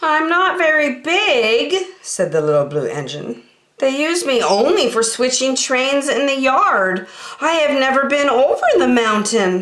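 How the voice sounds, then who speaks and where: A female-sounding voice takes on a put-on character voice at a high pitch. It moves along at a fairly slow pace. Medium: read story. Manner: kind, earnest.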